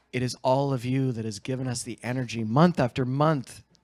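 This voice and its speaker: A man's plain, everyday voice at a medium pitch, with a moderate pace, fairly even intonation, and a dry, close sound with no echo. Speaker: event host. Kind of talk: motivational speech to a live audience.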